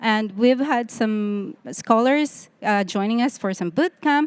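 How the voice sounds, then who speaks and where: A woman speaks with a non-native accent and lively intonation. The recording is very clean, with a silent background. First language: not English. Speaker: tech conference panelist. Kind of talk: panel discussion.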